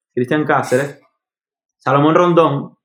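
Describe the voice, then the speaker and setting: A man speaks with a Venezuelan accent. His pace is fairly slow. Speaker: podcast host. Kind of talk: casual chat.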